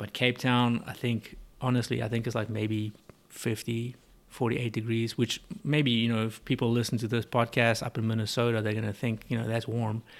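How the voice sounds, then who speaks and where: A fairly quick, monotone delivery with flat intonation in a South African accent. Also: man, medium pitch for a man. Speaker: business owner and importer. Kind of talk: casual interview. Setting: in-person conversation.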